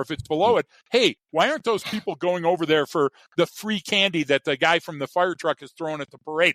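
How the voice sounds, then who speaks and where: An animated man with an American accent talks at a very fast pace. His pitch is high and his intonation lively. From US Midwest, Chicago. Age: 60s. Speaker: behavioral expert and trainer. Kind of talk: interview. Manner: repeats words.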